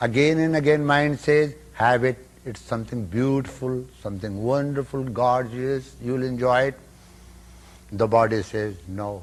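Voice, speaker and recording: This man has an Indian accent and a medium pitch. He speaks at a fairly slow pace with ordinary pitch variation. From Northern India. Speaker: yogi, spiritual teacher. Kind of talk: spiritual lecture.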